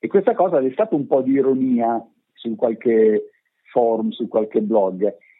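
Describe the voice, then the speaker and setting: A man talks with very wide pitch swings. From northern Italy, province of Pavia. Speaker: radio journalist and station director. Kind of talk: interview.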